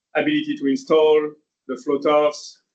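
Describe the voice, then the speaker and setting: Speaking at a moderate pace, a man with a French accent has a fairly high pitch. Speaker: engineer. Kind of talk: lecture. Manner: hesitant, many fillers.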